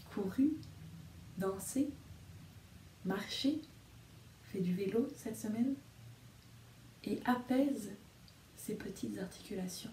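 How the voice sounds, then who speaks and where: Soft-spoken and somewhat breathy, a woman talks very slowly in a dark, mellow, gentle, calm tone, with audible room echo and light background noise. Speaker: storyteller and video reader. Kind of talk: guided meditation. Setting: video recording addressed to viewers. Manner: soft, slow and soothing; gentle, calm, hypnotic pacing with pauses. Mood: calm, soothing. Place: home room. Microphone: phone near.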